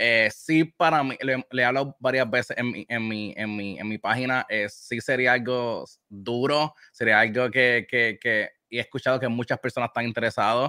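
A bright, sharp tone with fairly even intonation and hardly any pauses, in dry, close sound with no echo. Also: man, medium pitch for a man, moderate pace. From Puerto Rico. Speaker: video game streamer. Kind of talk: interview answers.

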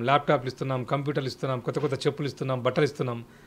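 This is a man speaking. His pitch sits fairly high. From Telangana, Sircilla; Telangana. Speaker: children's author and poet; poet. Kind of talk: interview. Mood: earnest, advisory. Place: home room. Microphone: handheld.

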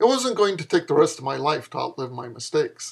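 A man's pitch swings very widely as he talks at a moderate speed in a quiet setting. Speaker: author reading own fiction. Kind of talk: comedic flash fiction reading with dialogue. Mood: sarcastic, lecturing tone. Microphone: webcam.

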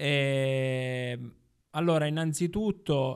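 The pitch moves in an ordinary way. The background is quiet. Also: man. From Sicily (Ribera, Agrigento); Sicily. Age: 30s. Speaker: journalist and former local councillor; podcast guest. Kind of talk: casual interview. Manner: halting, many fillers. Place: studio. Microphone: studio mic.

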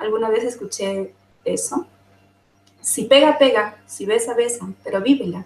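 Speaking fairly slowly, this woman has a high voice. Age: 40s. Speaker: summit panelist sharing personal experience. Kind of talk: testimony.

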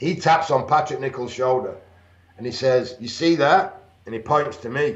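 Speaking with a northern English accent, a man keeps a moderate pace. Audible room echo surrounds his voice. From northern England. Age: 50s. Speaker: retired bodybuilder and pro wrestler; interview guest. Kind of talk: interview. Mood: animated, amused storytelling. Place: home room. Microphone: video call.

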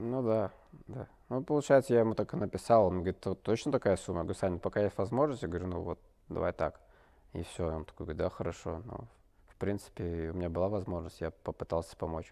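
Over a quiet background, a man speaks very fast in a very deep, low voice with lively intonation. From Russia, Barnaul; Russia. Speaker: ice hockey player; interview guest. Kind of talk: interview. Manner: halting, many fillers. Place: studio.

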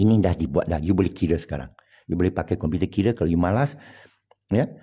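Against a quiet background, a man with a Hokkien accent speaks in a very deep, low, somewhat breathy voice with a dark, mellow tone and lively intonation. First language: Hokkien Chinese (speaking Malay). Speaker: online religious commentator. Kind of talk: monologue. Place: home room. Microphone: phone near.

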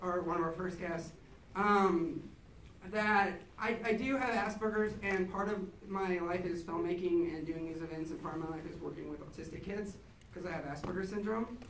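With audible room echo and light background noise, a man with a high voice speaks at a moderate pace and fairly even intonation. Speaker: event host. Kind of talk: event introduction speech. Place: hall.

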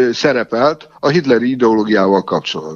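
A plain, everyday voice from a man at a moderate pace with lively intonation. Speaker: interpreter and university lecturer. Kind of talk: interview. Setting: phone call. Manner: formal.

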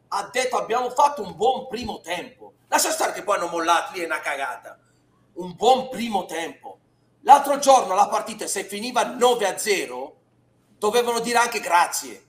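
The pace is moderate. Audible room echo sits around the voice. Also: man. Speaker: football pundit. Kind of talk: commentary. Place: home room. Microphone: headset.

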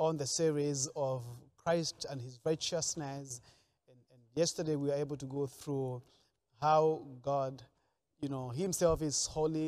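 The intonation is fairly even. The pace is moderate. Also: man. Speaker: pastor. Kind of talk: sermon. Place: studio. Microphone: lapel.

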